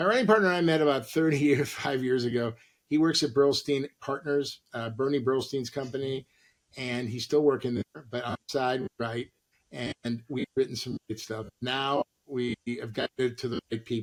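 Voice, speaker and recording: Here a man talks at a moderate pace with a medium pitch and ordinary pitch variation. The sound is dry and close, with no echo. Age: 60s. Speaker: actor and comedian. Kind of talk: casual chat. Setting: podcast interview. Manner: animated.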